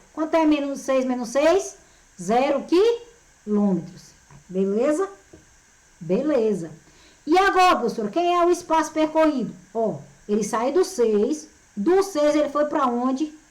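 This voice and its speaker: A woman's high voice with very wide pitch swings and very even loudness, at a fairly slow pace with long, frequent pauses and audible room echo. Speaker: physics teacher. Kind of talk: lecture. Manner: animated.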